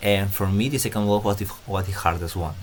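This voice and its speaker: A man's fairly low voice in monotone, flat intonation, with audible room echo. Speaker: gaming YouTuber. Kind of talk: game guide commentary. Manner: halting, many fillers.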